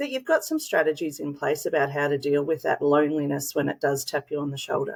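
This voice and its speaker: Speaking at a fairly quick pace with an Australian accent, this woman has a very deep, low voice and ordinary pitch variation. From Australia, small country town. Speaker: school leader, former principal. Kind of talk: interview answer.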